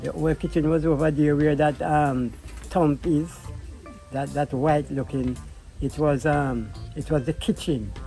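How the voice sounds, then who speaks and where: Music plays in the background behind a man with a fairly high pitch. He speaks at a fairly slow pace with long, frequent pauses. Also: fairly even intonation. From Jamaica. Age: 70s. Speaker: self-taught artist. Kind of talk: life story interview.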